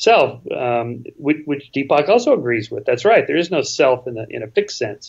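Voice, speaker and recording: A normal speaking voice moves at a moderate pace. Its intonation is lively. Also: man. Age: 60s. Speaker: author and skeptic, interview guest. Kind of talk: casual interview conversation. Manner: many restarts and repetitions.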